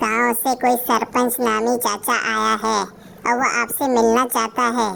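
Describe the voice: Doing a cartoonish character voice, a woman speaks fairly slowly at a fairly high pitch with very even loudness and a monotone, flat intonation over clear background noise.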